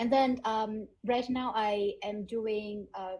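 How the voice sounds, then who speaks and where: Somewhat breathy and dark, mellow in tone, a woman speaks with a Vietnamese accent at a fairly high pitch and with fairly even intonation. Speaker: edtech founder and graduate student. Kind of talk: panel discussion.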